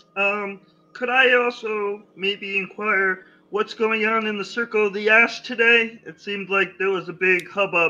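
A man's put-on character voice, high in pitch, with hardly any pauses. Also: moderate pace. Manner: lecturing, upbeat.

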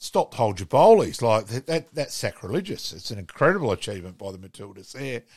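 A man with an Australian accent talks very fast, his pitch swinging very widely and his loudness rising and falling sharply. The recording is very clean, with a silent background. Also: medium pitch for a man. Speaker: podcast co-host. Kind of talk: casual sports chat. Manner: laid-back, chatty.

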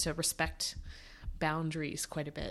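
A woman speaks at a fairly slow pace with a fairly low pitch. The recording is very clean, with a silent background. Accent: American. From Canada. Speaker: archaeologist. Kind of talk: casual interview chat.

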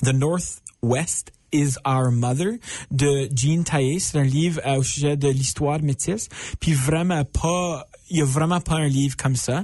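A man speaks at a very slow pace in a fairly high, somewhat breathy voice. He shows ordinary pitch variation and very even loudness. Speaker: stand-up comedian. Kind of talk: casual interview chat. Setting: radio studio, live on Instagram. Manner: French mixed with English phrases.

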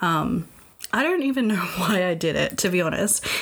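Against noticeable background noise, a woman talks at a moderate pace and medium pitch with lively intonation. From Australia.

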